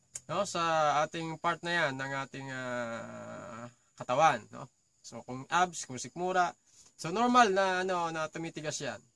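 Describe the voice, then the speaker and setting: A man with a fairly high pitch talks at a fairly slow pace. His intonation is lively and his loudness swings widely. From Philippines. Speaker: vlogger; vocal coach vlogger. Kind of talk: casual chat. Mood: friendly, thankful. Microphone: phone near.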